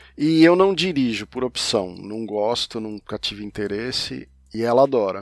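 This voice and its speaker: A man with a plain, everyday voice speaks at a medium pitch with lively intonation and big swings in loudness. The recording is very clean, with a silent background. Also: moderate pace. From Brazil, São Paulo. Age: 50s. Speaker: comics journalist and podcaster. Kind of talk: casual interview conversation.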